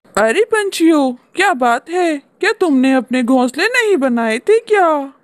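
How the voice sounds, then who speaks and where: This cartoonish character voice sits high in pitch. It moves at a fairly slow pace. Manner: calm, reasonable.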